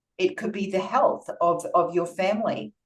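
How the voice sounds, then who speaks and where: A woman speaks at a fairly slow pace with an Australian accent. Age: 50s. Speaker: nutritional therapist. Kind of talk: presentation.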